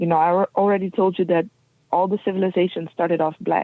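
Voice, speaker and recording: A woman with a non-native accent, medium pitch and a fairly quick pace. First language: not English. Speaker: guest speaker on race and history. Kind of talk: interview. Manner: halting.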